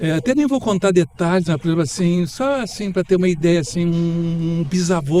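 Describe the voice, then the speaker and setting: A man's high-pitched voice at a moderate pace, over noticeable background noise. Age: 70s. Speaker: professor and architect. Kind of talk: radio interview.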